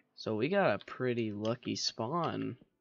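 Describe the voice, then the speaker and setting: Over music in the background, a man at medium pitch talks with lively intonation, the sound dry and close with no echo. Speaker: gaming video creator. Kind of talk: gameplay commentary. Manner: casual, thinking aloud.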